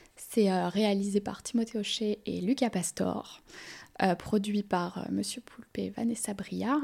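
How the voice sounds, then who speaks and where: This voice is dark, mellow and somewhat breathy. It moves at a very slow pace with fairly even intonation. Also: woman, medium pitch for a woman. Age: 20s. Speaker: film assistant director. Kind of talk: casual interview.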